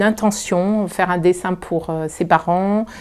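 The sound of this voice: A woman speaks in a fairly low register. Her tone is clear and smooth.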